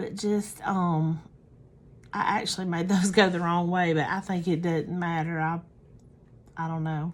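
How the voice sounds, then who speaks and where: A woman with an American accent and a fairly low pitch speaks at a fairly slow pace in a monotone, flat intonation, with long, frequent pauses. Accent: Southern US, thicker when tired. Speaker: craft tutorial creator. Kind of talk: tutorial. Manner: casual, halting with fillers.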